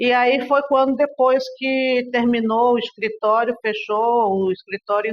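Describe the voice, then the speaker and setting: A woman with a fairly high pitch speaks fairly slowly, keeping her intonation fairly even. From Brazil, raised largely in Russia. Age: 60s. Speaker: interviewee, daughter of a political figure. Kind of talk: interview testimony. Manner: conversational, hesitant fillers.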